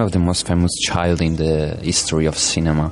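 A man speaks fairly slowly. There is noticeable background noise. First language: not English. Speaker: radio presenter. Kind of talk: casual chat. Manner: halting.

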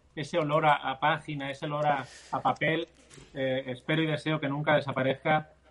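Speaking at a fairly quick pace, a man uses a fairly high pitch and monotone, flat intonation. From Spain (Barcelona, Catalonia), Andalusian parents. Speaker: endurance athlete and charity fundraiser. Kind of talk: interview.

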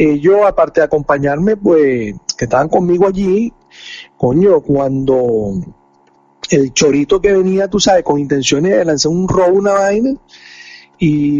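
Over noticeable background noise, a man speaks at a fairly slow pace. His pitch is high and his intonation lively. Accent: Venezuelan. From Venezuela. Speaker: podcast co-host. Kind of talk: casual chat.

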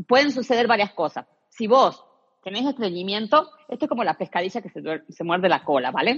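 In a dry, close recording with no echo, a woman speaks at a fairly quick pace with very wide pitch swings. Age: 40s. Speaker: personal trainer, pelvic floor specialist. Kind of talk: interview.

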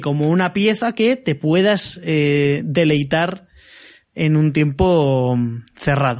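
A man is heard speaking over a quiet background. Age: 20s. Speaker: podcast co-host. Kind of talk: casual chat.

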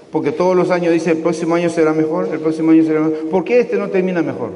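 Over noticeable background noise and audible room echo, a high-pitched man talks at a very fast pace. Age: 60s. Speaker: pastor. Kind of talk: sermon.

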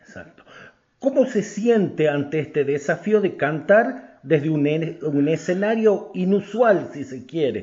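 A man with a high voice talks very slowly, his intonation lively and his loudness swinging widely. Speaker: newspaper journalist. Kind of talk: interview. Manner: formal.

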